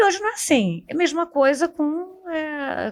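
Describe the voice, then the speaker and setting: The speaker is a woman. She talks in a Carioca accent. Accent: Carioca (Rio de Janeiro) accent, noticeable. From Rio de Janeiro, Brazil. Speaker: economist. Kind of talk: panel discussion podcast. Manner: halting, many fillers.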